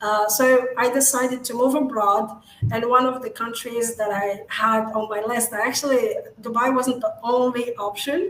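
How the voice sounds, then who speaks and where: A woman speaks in an Arabic accent at a high pitch and moderate pace, with fairly even intonation. There is noticeable background noise. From Morocco. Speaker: digital marketing agency founder. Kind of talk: interview.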